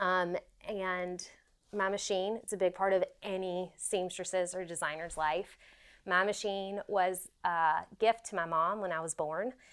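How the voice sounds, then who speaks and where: In a Southern US accent, a woman talks at a fairly slow pace with medium pitch and fairly even intonation, on a very clean recording with a silent background. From US South, South Carolina. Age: 40s. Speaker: fashion designer. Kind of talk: casual studio tour. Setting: home sewing studio. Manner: casual, with frequent fillers.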